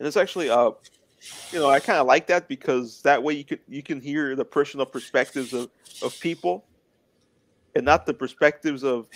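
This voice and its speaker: Long, frequent pauses break up a man's fairly quick speech. His pitch is fairly high, with ordinary variation. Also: dry, close sound with no echo. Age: 20s. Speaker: interview guest with muscular dystrophy. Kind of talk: casual interview chat. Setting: live stream.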